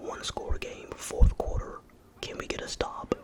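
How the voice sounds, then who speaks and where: Whispering at a very slow pace, a man is heard against noticeable background noise. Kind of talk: whispered gaming commentary. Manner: whispered.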